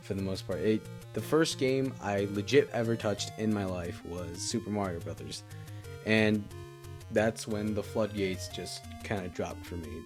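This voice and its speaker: The man's voice sits at a fairly low pitch. Music can be heard behind it. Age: young. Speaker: gaming youtuber. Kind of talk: casual talk to camera.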